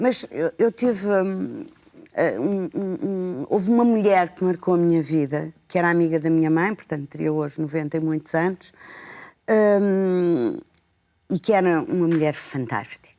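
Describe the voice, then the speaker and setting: A woman speaks at a fairly slow pace in a fairly low pitch, with a dark, mellow tone and ordinary pitch variation. The recording is very clean, with a silent background. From Portugal, Lisbon. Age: 60s. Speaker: educator and book lover. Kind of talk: TV talk show conversation. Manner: halting, many fillers.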